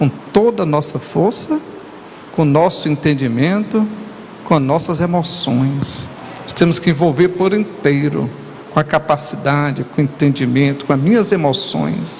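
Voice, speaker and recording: A man talks at a fairly slow pace with a fairly high pitch. There is noticeable background noise behind him. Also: ordinary pitch variation. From northern Brazil, Tocantins river region (Imperatriz, Maranhão). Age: 60s. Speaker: pastor. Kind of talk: sermon.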